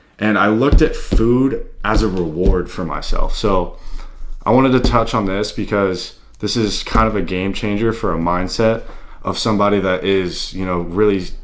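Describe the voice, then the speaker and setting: With an American accent, a man talks at a fairly low pitch with ordinary pitch variation. Audible room echo surrounds his voice. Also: moderate pace. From US South, Tennessee. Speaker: fitness YouTuber. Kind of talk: casual vlog talk.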